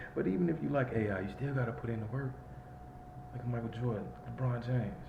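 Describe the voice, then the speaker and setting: Over noticeable background noise and audible room echo, a man with an American accent talks at a very fast pace in a medium pitch. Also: ordinary pitch variation. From Chicago, Illinois. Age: 30s. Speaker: vlogger. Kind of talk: casual monologue vlog.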